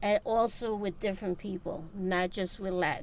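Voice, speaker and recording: At a moderate pace, a woman speaks with a New York accent. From New York City. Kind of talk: interview answer.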